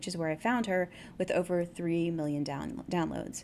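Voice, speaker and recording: A woman with a fairly low pitch and ordinary pitch variation speaks in a plain, everyday voice. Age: 40s. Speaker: podcast host. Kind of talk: interview; scripted intro.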